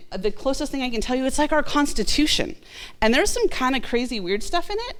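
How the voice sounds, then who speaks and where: Very fast, animated speech with lively intonation and audible room echo. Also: woman. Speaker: city clerk. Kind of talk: presentation to a class. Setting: room with audience, video recorded.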